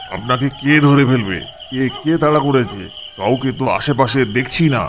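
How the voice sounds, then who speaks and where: A rumbling put-on character voice at a moderate pace, with ordinary pitch variation and clear background noise. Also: man, medium pitch for a man. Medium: cartoon. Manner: grumbling.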